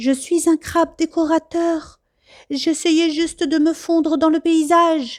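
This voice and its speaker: A woman speaks in a put-on character voice, extremely high-pitched, flat and monotone, at a fairly slow pace. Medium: read story.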